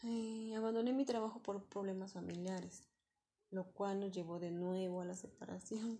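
The woman's medium-pitched voice has a dark, mellow tone and is somewhat breathy. Her pace is moderate and her intonation fairly even. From Mexico City. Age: 20s. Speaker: returning adult student. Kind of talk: personal testimony. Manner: halting.

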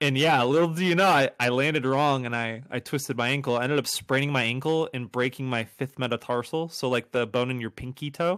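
Over a quiet background, a man with an American accent speaks in an ordinary speaking voice at a medium pitch and a fairly quick pace, with hardly any pauses, ordinary pitch variation and a dry, close sound with no echo. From upstate New York, near Buffalo. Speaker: emo-rap artist. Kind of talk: casual interview.

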